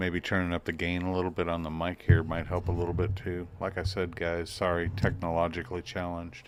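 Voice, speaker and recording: A man's very deep, low voice in a monotone, flat delivery at a fairly quick pace with hardly any pauses, on a very clean recording with a silent background. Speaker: livestream host. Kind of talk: casual live chat reading viewer comments. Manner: hesitant, with many fillers.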